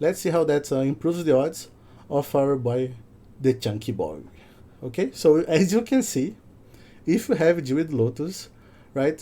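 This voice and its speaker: A man with a non-native accent speaks with a dark, mellow tone at a fairly high pitch, leaving long, frequent pauses. The recording is very clean, with a silent background. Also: lively intonation, moderate pace. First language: not English. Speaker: content creator and data website developer. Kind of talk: tutorial. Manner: hesitant, frequent fillers.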